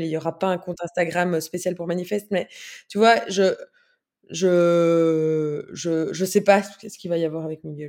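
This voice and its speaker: A woman speaks at a fairly slow pace with a fairly low pitch and a dark, mellow tone. Her intonation is fairly even, and the recording is very clean with a silent background. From Belgium, Brussels. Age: 30s. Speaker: sustainable food consultant. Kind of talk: casual interview chat. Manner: halting, many fillers.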